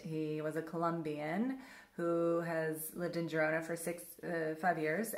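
The talking moves at a moderate pace. Room echo is audible. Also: woman. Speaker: travel vlogger. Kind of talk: casual vlog chat. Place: home room. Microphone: phone near.

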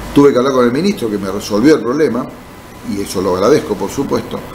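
Light background noise sits behind a man speaking at a medium pitch with ordinary pitch variation. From Argentina, Buenos Aires province. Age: 60s. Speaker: mayor and politician, physician; mayor, politician. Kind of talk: interview. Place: studio. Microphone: studio mic.

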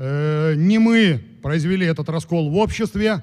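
A man speaks at a very slow pace with lively intonation. His pitch is fairly high. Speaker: former military officer, politician. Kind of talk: formal speech. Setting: conference stage with audience.

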